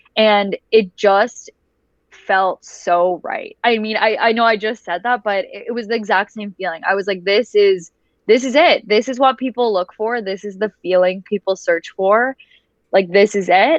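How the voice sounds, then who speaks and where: A woman's a normal speaking voice, medium-pitched, at a moderate pace with ordinary pitch variation. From Canada, raised in Dubai. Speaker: voice actor. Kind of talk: interview answer.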